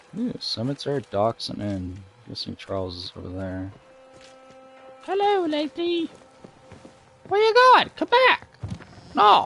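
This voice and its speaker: Over music in the background, a man talks at a fairly slow pace with long, frequent pauses and big swings in loudness, in a dry, close sound with no echo. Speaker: gaming streamer. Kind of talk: live gameplay commentary. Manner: casual, halting. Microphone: headset mic close to face.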